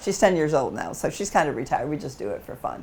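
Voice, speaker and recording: A woman with a very deep, low pitch speaks with vocal fry and lively intonation. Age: 80s+. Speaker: dog trainer and herding competitor. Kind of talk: interview answer.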